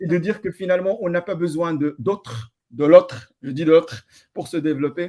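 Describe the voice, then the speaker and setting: Using a dark, mellow tone, a man talks at a high pitch and a moderate pace with ordinary pitch variation. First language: Amazigh (Tamazight) (speaking French). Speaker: NGO founder and researcher. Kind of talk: online panel interview. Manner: halting, many repetitions.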